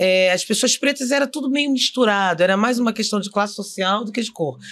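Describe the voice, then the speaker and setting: An unremarkable speaking voice from a woman, fairly high in pitch, with lively intonation and a fairly quick pace. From Rio de Janeiro suburbs, Brazil. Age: 50s. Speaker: actress and director. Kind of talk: interview, personal story.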